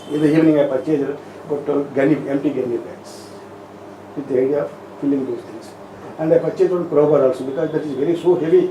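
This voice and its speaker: The speaker talks at a very fast pace with fairly even intonation, big swings in loudness and long, frequent pauses, over noticeable background noise. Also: man, fairly high pitch for a man. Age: 70s. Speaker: retired railway engineer, pothole filler. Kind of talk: interview answer.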